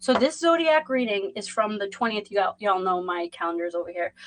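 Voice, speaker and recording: A Boston-accented woman at medium pitch, talking at a fairly quick pace. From Boston, Massachusetts. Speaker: tarot reader. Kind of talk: live stream chat and tarot reading. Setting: livestream. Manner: casual, rambling with fillers.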